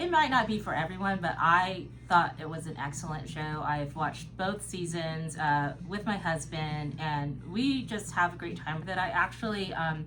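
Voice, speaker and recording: A woman talks with hardly any pauses in a very deep, low voice. The recording carries noticeable background noise and audible room echo. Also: ordinary pitch variation, moderate pace. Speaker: podcast co-host. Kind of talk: casual chat.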